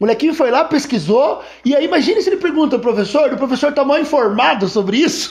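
The speech races along at a very fast pace with lively intonation. Its loudness stays very even. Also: man, extremely high pitch for a man. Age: 50s. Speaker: podcast host and history teacher. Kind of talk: casual chat. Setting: guest's home.

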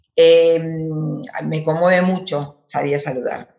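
A woman speaks in a very deep, low voice with monotone, flat intonation. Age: 50s. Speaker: actress. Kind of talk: interview. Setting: video call. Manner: halting, many repetitions.

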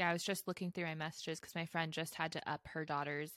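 In a dry, close recording with no echo and a silent background, a woman speaks in an ordinary speaking voice, her fairly low pitch moving in fairly even intonation. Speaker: podcast co-host. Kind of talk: casual chat.

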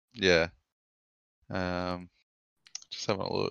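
A man with an Australian accent talks at a very slow pace in a fairly low pitch. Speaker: podcast host. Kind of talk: casual chat.

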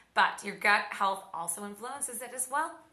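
Audible room echo surrounds a woman's bright, sharp, fairly high voice as she talks at a moderate pace. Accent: American. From Oklahoma. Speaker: podcast host, fitness and health coach. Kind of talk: casual educational monologue. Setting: she shed with tin roof.

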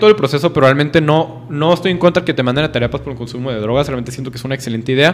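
Over noticeable background noise, a man with a northern Mexican accent talks very fast at a fairly high pitch, with ordinary pitch variation. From northern Mexico. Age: 20s. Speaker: law student. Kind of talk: casual chat.

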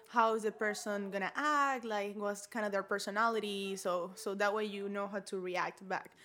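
A woman with a Spanish accent, medium pitch, and a bright, sharp tone, at a moderate pace with fairly even intonation and hardly any pauses. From Venezuela. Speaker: architect. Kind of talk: interview.

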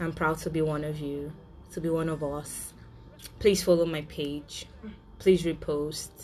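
A woman with a very deep, low pitch and a dark, mellow tone, at a fairly slow pace with long, frequent pauses, in audible room echo. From Nigeria. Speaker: podcast host. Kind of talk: solo monologue. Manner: animated.

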